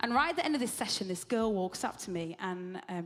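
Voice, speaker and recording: A woman's medium pitch with ordinary pitch variation. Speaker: ministry leader. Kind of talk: on-stage interview. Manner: fast; animated.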